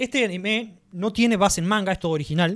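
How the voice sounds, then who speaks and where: A man speaks at a fairly quick pace with a Rioplatense accent. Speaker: podcast host. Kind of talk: casual chat. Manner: animated.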